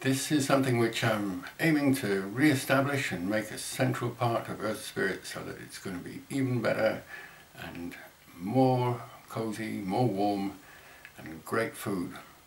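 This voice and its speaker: Audible room echo surrounds a man talking at a fairly slow pace, with ordinary pitch variation and big swings in loudness. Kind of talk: fundraising appeal to camera. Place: home room. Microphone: webcam.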